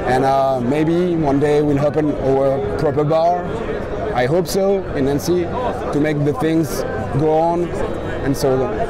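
Crowd noise fills the background as a man speaks. His voice itself sounds dry, with no echo. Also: ordinary pitch variation, fairly slow pace. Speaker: interviewee. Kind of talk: interview answer. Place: street.

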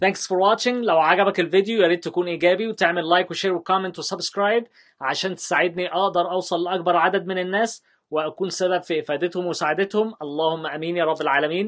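Against a quiet background, a man with a high voice for a man talks at a very fast pace with hardly any pauses and fairly even intonation. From Egypt. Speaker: YouTuber, former teacher. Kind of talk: tutorial. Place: studio.

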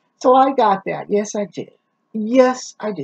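Against a quiet background, a woman speaks in a somewhat breathy voice with ordinary pitch variation. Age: 70s. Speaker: YouTuber reviewing products. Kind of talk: casual product review vlog. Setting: home recording. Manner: halting. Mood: relaxed, chatty, humorous. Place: kitchen. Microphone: webcam.

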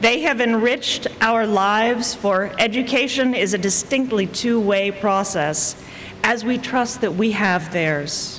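Speaking at a fairly slow pace, a woman keeps her loudness very even. Her pitch varies in an ordinary way over light background noise. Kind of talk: formal welcome address. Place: hall. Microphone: podium.

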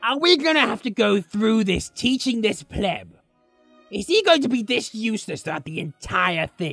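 Over faint background music, someone performs a put-on character voice at a fairly high pitch. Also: moderate pace. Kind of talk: let's play game commentary in character. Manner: sarcastic, insulting.

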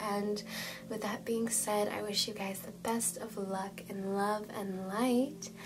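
Over noticeable background noise and audible room echo, a woman speaks with a soothing tone at a very slow pace, a medium pitch and monotone, flat intonation. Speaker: tarot card reader. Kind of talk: tarot reading video. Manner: soothing guided intro.

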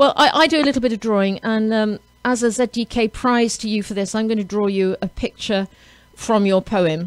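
Speech comes at a moderate pace with ordinary pitch variation. The sound is dry, with no echo. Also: woman. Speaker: radio host. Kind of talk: radio interview. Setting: radio studio. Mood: warm, upbeat. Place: studio. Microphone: studio mic.

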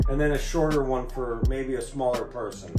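The speech moves at a fairly quick pace while music plays clearly in the background. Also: man. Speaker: DIY channel host. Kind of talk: casual vlog intro. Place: office. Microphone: webcam.

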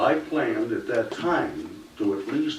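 A man can be heard with audible room echo. Noticeable background noise runs underneath. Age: 70s. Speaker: resident making public comment. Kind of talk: public comment. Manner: impassioned.

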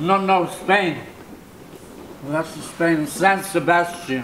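A man talks at a high pitch with fairly even intonation and a very slow pace. Audible room echo and light background noise surround him. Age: 80s+. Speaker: impressionist painter. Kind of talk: interview answer. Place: home room.

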